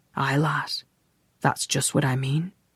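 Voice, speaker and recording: The voice is a raspy, put-on character voice. Its pitch is low-to-middle. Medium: read story.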